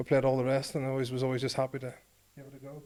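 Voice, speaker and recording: A man with a Northern Irish accent talks at a very fast pace. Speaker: former rugby player. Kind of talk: podcast interview, storytelling. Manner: animated.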